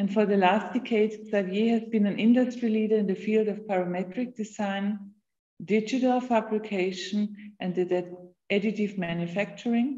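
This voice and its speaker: Against a quiet background, a woman speaks at a fairly high pitch. Her tone is dark, mellow and somewhat breathy, with fairly even intonation. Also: moderate pace. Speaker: university lecturer. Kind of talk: moderating a lecture Q&A. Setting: video call. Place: home room. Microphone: video call.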